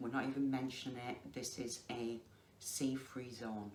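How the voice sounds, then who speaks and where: Monotone and flat, a woman speaks at a very deep, low pitch with a Lancashire accent. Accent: Lancashire dialect, noticeable. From northern England, Lancashire. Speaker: crafter vlogger. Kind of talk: casual chat. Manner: slow and deliberate.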